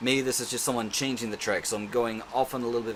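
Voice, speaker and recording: A man speaks at a very fast pace in a medium pitch, with fairly even intonation over noticeable background noise. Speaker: self-defence instructor vlogger. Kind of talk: casual vlog monologue. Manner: rambling with many fillers.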